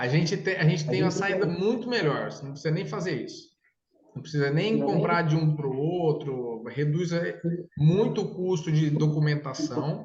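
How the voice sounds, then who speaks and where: Spoken at a moderate pace with ordinary pitch variation, the voice carries audible room echo. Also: man, fairly high pitch for a man. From interior of São Paulo state, Brazil. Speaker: consortium sales consultant. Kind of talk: sales consultation with a client. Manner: casual, enthusiastic.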